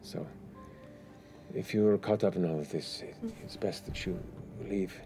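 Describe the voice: Faint music plays behind a put-on character voice with a dark, mellow tone, vocal fry, very wide pitch swings and a fairly slow pace. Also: man, fairly low pitch for a man.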